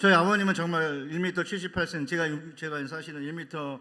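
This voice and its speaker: The voice has a bright, sharp tone and moves at a fairly quick pace. It is a very clean recording with a silent background. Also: man. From Seoul, South Korea (born in North Chungcheong). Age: 60s. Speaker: seminary professor and pastor. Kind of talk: sermon.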